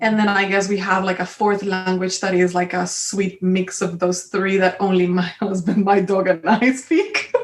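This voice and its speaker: A woman with a Spanish accent at a moderate pace, with monotone, flat intonation, very even loudness and hardly any pauses. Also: medium pitch for a woman. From Colombia. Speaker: creative entrepreneur. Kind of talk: casual chat.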